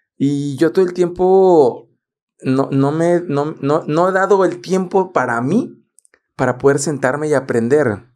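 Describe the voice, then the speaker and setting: A man with a fairly high pitch, ordinary pitch variation and a fairly slow pace, against a quiet background. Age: 30s. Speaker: podcast host and photographer; podcast host. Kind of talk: casual chat. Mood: relaxed, smiling. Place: studio. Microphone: studio mic.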